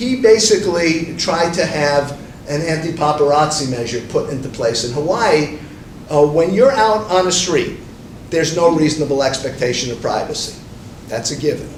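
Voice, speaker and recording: A man's fairly high voice with lively intonation at a moderate pace, amid noticeable background noise and audible room echo. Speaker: media lawyer panelist. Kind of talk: panel presentation.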